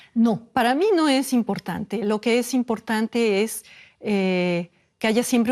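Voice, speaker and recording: With a Mexican accent, a woman speaks at a fairly slow pace and with ordinary pitch variation, in a dry, close sound with no echo and a quiet background. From Mexico. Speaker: neurobiologist. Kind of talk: interview answer.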